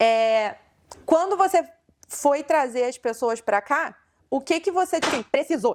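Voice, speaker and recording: A woman with a high pitch and lively intonation, at a fairly slow pace with long, frequent pauses. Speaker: podcast host. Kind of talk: casual interview chat.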